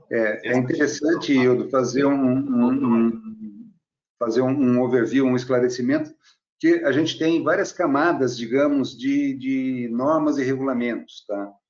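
In an unremarkable speaking voice, a man talks at a medium pitch and a fairly slow pace with fairly even intonation. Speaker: research engineer. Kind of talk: casual panel discussion.

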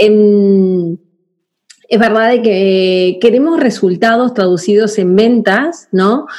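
Very slowly and at very even loudness, a woman with a fairly high pitch speaks with ordinary pitch variation. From Argentina. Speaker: podcast host, marketing consultant. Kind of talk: casual interview.

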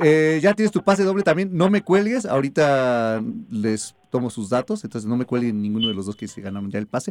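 In a dry, close sound with no echo, a man at a medium pitch talks at a fairly quick pace with very wide pitch swings and hardly any pauses. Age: 30s. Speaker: radio host. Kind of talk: radio show.

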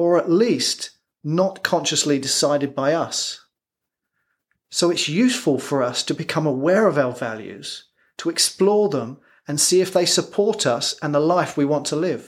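With an English accent, a man talks at a moderate pace with lively intonation. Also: fairly high pitch for a man. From England. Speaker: performance coach. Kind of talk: scripted narration.

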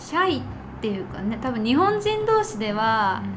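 In a space with audible room echo and noticeable background noise, a woman speaks at a fairly slow pace. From Japan. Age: 20s. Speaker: podcast guest. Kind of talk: casual chat.

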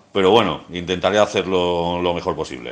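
A man at a moderate pace. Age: 40s. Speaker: jury member. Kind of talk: casual self-introduction. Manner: halting.

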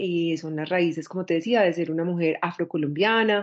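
A woman is speaking. Her pace is moderate, with ordinary pitch variation. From Medellín, Colombia. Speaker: Afro-feminist activist. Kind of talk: interview testimony.

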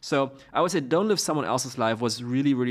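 A man talks at a very fast pace. The recording is very clean and the background silent. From Germany. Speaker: startup co-founder. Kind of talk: interview.

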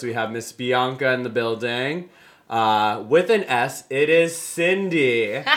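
This man has an unremarkable speaking voice, with medium pitch and a fairly slow pace. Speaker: podcast host. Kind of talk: casual chat.

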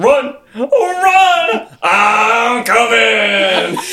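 A man puts on a character voice at an extremely high pitch, bright and sharp in tone, with big pitch swings. He speaks at a very slow pace.

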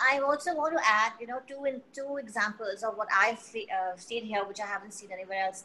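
A woman with a bright, sharp tone and fairly high pitch talks at a fairly quick pace with hardly any pauses and big swings in loudness. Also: ordinary pitch variation. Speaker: HR leader. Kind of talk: casual chat.

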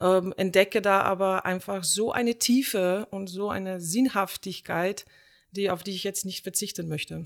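A woman at medium pitch and moderate pace, fairly even in intonation, on a very clean recording with a silent background. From Slovenia. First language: Slovenian (speaking German). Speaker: theatre director and drama teacher. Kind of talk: casual chat.

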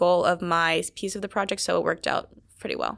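Woman with an American accent at a very fast pace, on a very clean recording with a silent background. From Maryland, US East Coast. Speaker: undergraduate researcher. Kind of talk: casual interview. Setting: studio around a table.

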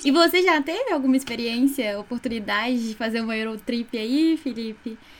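A woman with a plain, everyday voice speaks at a fairly high pitch, with ordinary pitch variation. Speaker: student podcast co-host. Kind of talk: interview.

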